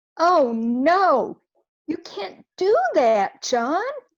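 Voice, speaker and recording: A woman puts on a high-pitched character voice that swings very widely in pitch. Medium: stage play.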